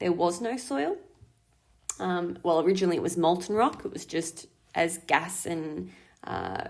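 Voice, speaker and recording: With an Australian accent, a woman speaks in a fairly low voice with ordinary pitch variation. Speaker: school teacher. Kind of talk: recorded lesson. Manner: fast.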